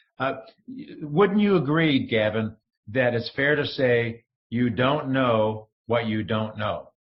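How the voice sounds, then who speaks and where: Speaking at a very slow pace, a man with a medium pitch and a somewhat breathy voice uses lively intonation. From upstate New York (Rochester). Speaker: entrepreneur, former broadcaster. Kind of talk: interview podcast. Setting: call. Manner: animated.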